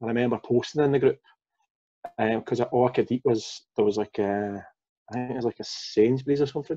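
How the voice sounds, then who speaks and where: A man speaks with a Glaswegian accent. His tone is dark and mellow, with fairly even intonation. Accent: Glaswegian Scottish. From Glasgow, Scotland. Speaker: former fitness coaching client, father; former fitness coaching client. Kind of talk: casual interview. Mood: relaxed, candid. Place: home room. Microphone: video call.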